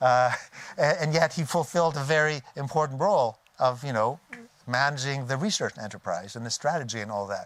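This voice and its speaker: A man with a Canadian accent talks at a fairly quick pace. His pitch is fairly high, with ordinary pitch variation. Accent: native Canadian. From Canada. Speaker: technology transfer expert. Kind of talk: conference talk. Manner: halting, many fillers and restarts.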